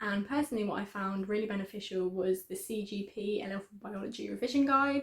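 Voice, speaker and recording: Speaking at a fairly quick pace with hardly any pauses, a woman talks in an English accent. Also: medium pitch for a woman, ordinary pitch variation. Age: 20s. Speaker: student YouTuber. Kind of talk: tutorial. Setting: student room at home.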